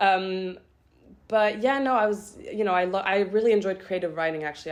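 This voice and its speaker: A woman speaks with a German accent at a moderate pace. Her pitch varies in an ordinary way. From France, near Geneva; later Zurich. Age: young. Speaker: university student. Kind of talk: casual interview chat. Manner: hesitant, many fillers.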